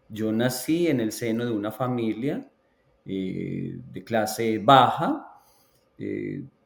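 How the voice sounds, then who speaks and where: A man speaks in a Colombian accent at a very slow pace. His pitch is medium, with ordinary variation. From Colombia, Antioquia (La Ceja). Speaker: education researcher. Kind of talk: interview.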